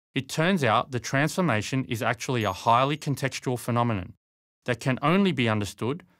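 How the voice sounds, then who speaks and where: A man with a normal speaking voice at medium pitch, fairly quick and lively in intonation, in a very clean recording with a silent background. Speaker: leadership coach and author. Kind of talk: book trailer narration.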